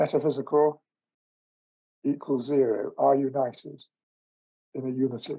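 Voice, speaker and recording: At a moderate pace, the man speaks in a dark, mellow tone. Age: 80s+. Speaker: author and philosopher. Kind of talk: interview. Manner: hesitant with many fillers.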